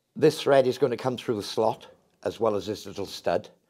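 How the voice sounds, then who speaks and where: A man with a dark, mellow tone speaks at a moderate pace with ordinary pitch variation. The background is quiet. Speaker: product demonstrator. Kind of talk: tutorial. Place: studio.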